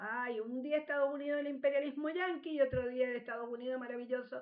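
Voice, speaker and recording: A woman speaks at a very fast pace in a high voice. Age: 60s. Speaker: history teacher. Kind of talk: radio interview. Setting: radio studio.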